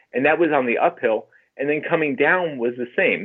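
With lively intonation and at a moderate pace, a man talks in an ordinary speaking voice. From New Jersey and North Carolina. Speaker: amateur runner and health coach. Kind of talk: interview testimony.

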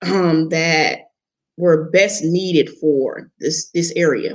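A woman's fairly low voice at a very slow pace, with a Southern US accent. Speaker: logistics business owner. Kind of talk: interview. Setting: live stream.

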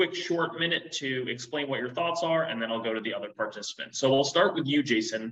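With a plain, everyday voice, a man talks at a fairly quick pace in a fairly high pitch with ordinary pitch variation. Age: 20s. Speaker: podcast host. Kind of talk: interview.

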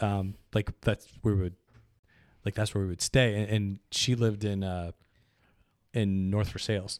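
In a very clean recording with a silent background and a dry, close sound with no echo, a man with an American accent uses an ordinary speaking voice, fairly low in pitch, at a moderate pace. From Pittsburgh area and New Jersey. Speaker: podcast guest, friend of the hosts. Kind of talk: casual chat.

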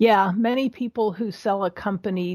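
A woman speaks in a normal speaking voice with an American accent, at a moderate pace with ordinary pitch variation. The recording is very clean, with a silent background. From Pittsburgh area, US. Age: 60s. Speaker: small business mentor, retired business owner. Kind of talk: casual interview.

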